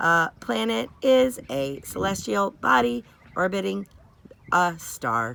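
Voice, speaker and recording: A woman puts on a character voice with a very deep, low pitch and delivers it at a fairly slow pace. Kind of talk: bedtime story. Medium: read story. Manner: precise, even, factual.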